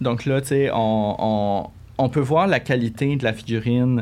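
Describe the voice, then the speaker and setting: A man with medium pitch speaks at a very slow pace. His pitch variation is ordinary, and the background is quiet. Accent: Quebec. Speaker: collector. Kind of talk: casual chat. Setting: studio.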